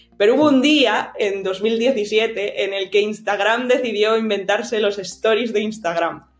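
Against noticeable background noise, a woman with a fairly high voice speaks at a fairly slow pace with hardly any pauses. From Spain, Cantabria (Santander). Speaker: marketing director. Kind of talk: interview.

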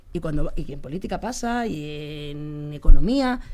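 A woman speaks in a dark, mellow tone with very wide pitch swings. Audible room echo surrounds her voice. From Spain, Leganés (Madrid). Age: 50s. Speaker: sports journalist. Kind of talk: interview.

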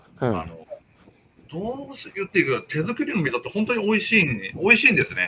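Speaking at a very fast pace with long, frequent pauses, a man's voice shows big swings in loudness over noticeable background noise. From Fukushima, Minamisoma (Japan, Tohoku). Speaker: miso and soy sauce maker, business owner. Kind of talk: casual interview.

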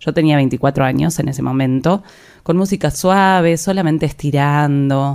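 This woman's very deep, low pitch comes with a dark, mellow tone, ordinary pitch variation and a moderate pace. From Argentina, La Plata. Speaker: yoga teacher and podcast host. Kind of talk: personal storytelling monologue.

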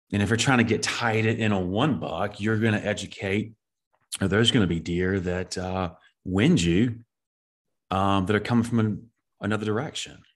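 With a Southern US accent, a man speaks at a moderate pace and fairly low pitch, showing ordinary pitch variation, long, frequent pauses and a quiet background. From US Southeast. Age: 30s. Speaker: deer habitat manager and podcast host. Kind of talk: casual interview.

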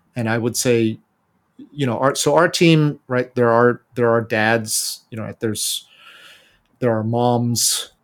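On a very clean recording with a silent background, a man with an American accent speaks fairly slowly in an unremarkable speaking voice, medium-pitched with fairly even intonation. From United States. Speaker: bike company founder. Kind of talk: interview.

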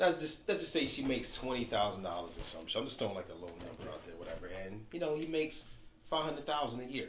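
A man with an American accent talks at a fairly quick pace. His intonation is lively, and the room echo is audible. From Buffalo area, New York. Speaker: podcast host. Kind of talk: casual chat.

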